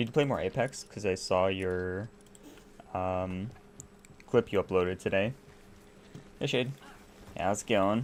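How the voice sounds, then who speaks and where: A man with an American accent and a fairly low pitch speaks with ordinary pitch variation and long, frequent pauses. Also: fairly slow pace. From United States. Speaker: gaming streamer. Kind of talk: casual live-stream chat. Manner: relaxed, chatty.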